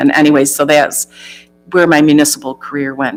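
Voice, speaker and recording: Music in the background behind a woman with an American accent at a moderate pace. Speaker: job candidate, former village treasurer. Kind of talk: job interview.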